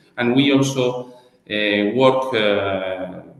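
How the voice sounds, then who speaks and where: Background noise is noticeable behind a man's voice. His pitch is medium, and his intonation is fairly even. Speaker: chamber of commerce project coordinator. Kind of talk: interview. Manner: halting.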